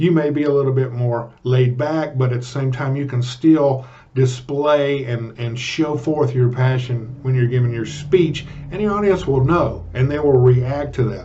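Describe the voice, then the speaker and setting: At a moderate pace, a man speaks at a medium pitch amid audible room echo. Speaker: public speaking coach. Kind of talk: vlog tutorial. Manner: animated; loud.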